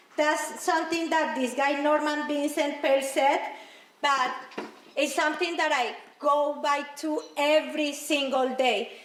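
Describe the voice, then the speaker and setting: A woman's high-pitched voice in a Spanish accent, monotone and flat, at a fairly slow pace with very even loudness, amid noticeable background noise and audible room echo. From Colombia. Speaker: motivational speaker. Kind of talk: motivational speech.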